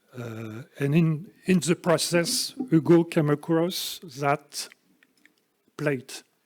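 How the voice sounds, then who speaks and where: Speaking very slowly with a French accent, a man with a fairly high pitch leaves long, frequent pauses and shows big swings in loudness. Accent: French accent, noticeable. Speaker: speaker at a literary society event. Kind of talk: lecture. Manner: halting, many hesitations.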